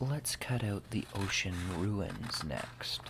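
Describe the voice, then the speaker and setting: Background noise is noticeable. The speaking pace is very slow. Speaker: ASMR gaming creator. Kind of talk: ASMR soft-spoken explanation. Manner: soft-spoken, whispered.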